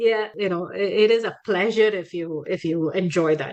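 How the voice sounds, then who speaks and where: In a Tamil accent, a woman speaks at a moderate pace with a medium pitch and fairly even intonation. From India, Chennai (Tamil Nadu). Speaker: podcast guest, traveller. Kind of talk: casual interview chat. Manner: hesitant, many fillers.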